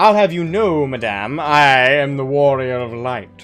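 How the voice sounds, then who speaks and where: A man speaks in a put-on character voice at a medium pitch. His pace is fairly slow, with faint music in the background. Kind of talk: formal, haughty. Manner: pompous, proud.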